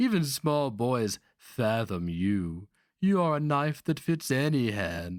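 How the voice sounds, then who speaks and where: A man's put-on character voice, hissing at a fairly slow pace, medium in pitch with very wide pitch swings, in a very clean recording against a silent background. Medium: read story. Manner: hissing, insinuating.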